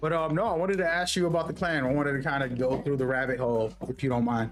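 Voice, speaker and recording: A man with a New York accent, fairly high in pitch, at a very fast pace with ordinary pitch variation, very even loudness and noticeable background noise. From New York, the Bronx. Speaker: gaming streamer. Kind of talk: casual chat.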